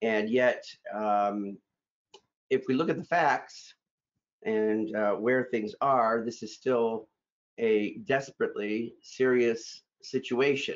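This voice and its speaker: A man speaks very slowly, with long, frequent pauses. His pitch varies in an ordinary way. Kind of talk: address to staff. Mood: earnest, grateful. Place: home room. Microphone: webcam.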